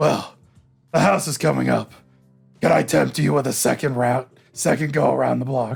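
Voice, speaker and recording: A man's raspy, put-on character voice at medium pitch, moderate pace, long and frequent pauses, faint music behind. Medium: game stream. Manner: casual, joking.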